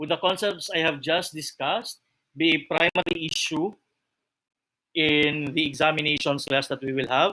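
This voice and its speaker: A man's fairly high-pitched voice with a bright, sharp tone, a fairly slow pace, and fairly even intonation. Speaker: accounting lecturer. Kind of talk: lecture.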